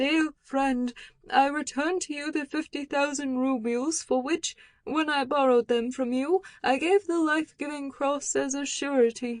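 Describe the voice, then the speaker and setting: A woman's put-on character voice, high in pitch, at a moderate pace in a dry, close sound with no echo. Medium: read story.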